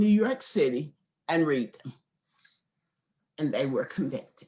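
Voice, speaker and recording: Vocal fry runs through an animated tone with very wide pitch swings. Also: woman. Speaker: law professor. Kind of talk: lecture.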